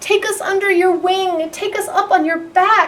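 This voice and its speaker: A woman puts on a squeaky character voice at an extremely high pitch. She speaks at a moderate pace with fairly even intonation. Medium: read story. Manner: exasperated.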